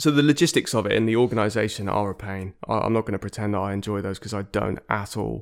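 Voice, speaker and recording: A man talks at a very fast pace with a fairly low pitch, ordinary pitch variation and vocal fry. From Devon, England (Exeter). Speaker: musician and producer. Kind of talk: interview.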